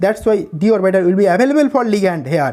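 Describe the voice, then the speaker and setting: A man with an Indian accent speaks at a high pitch. His intonation is lively. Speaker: chemistry teacher. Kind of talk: lecture. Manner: fast.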